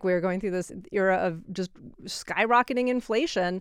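A woman speaks in an ordinary speaking voice at a moderate pace, her medium pitch carried by lively intonation on a very clean recording with a silent background. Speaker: public radio editor. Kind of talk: radio interview.

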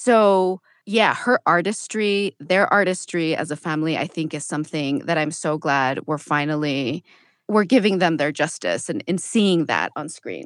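A woman with an ordinary speaking voice and an American accent speaks at a fairly low pitch and moderate pace, with ordinary pitch variation, in a very clean recording with a silent background and a dry, close sound with no echo. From US-Mexico border, El Paso, Texas. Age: 30s. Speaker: podcast host and writer. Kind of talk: radio interview.

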